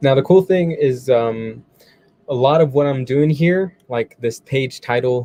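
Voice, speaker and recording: An unremarkable speaking voice talks at a moderate pace. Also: man. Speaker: web tutorial presenter. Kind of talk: tutorial. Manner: casual.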